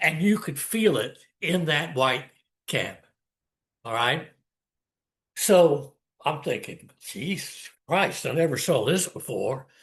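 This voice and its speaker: Speaking in a Southern US accent at a very slow pace, the voice has lively intonation and long, frequent pauses. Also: man, fairly high pitch for a man. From US South, South Carolina Lowcountry. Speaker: storyteller. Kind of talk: personal storytelling. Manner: animated.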